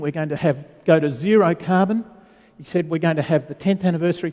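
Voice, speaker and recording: An Australian accent with ordinary pitch variation. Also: man. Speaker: panel moderator. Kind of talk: conference panel introduction. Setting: conference stage with audience.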